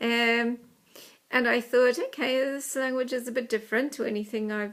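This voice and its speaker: Fairly even intonation and a moderate pace mark this speech in a New Zealand accent. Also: woman. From New Zealand, small country town. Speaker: Welsh learner. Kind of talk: personal talk. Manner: hesitant, many filler ums.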